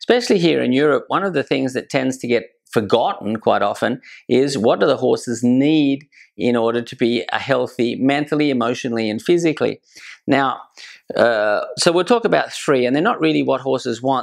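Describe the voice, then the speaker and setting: Against a quiet background, a man in an Australian accent talks at a medium pitch and a fairly quick pace with ordinary pitch variation. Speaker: horse trainer. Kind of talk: educational talk.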